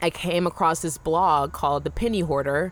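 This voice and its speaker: At a moderate pace, a woman with a fairly low pitch talks in an unremarkable speaking voice. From US South. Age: 20s. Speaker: freelance entrepreneur. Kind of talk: casual interview. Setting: festival interview.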